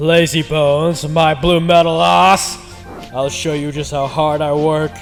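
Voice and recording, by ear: A fairly high-pitched, put-on character voice from a man at a fairly slow pace, with clear music in the background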